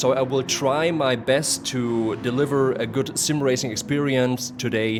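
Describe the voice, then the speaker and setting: Music plays behind a man of medium pitch who speaks with a German accent. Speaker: sim racing commentator. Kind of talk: live commentary. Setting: live stream. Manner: halting in English, searching for words.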